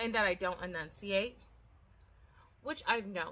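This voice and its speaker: A woman's medium-pitched voice with a bright, sharp tone. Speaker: gardening vlogger. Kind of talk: casual chat. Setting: outdoors. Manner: mumbled, not enunciated.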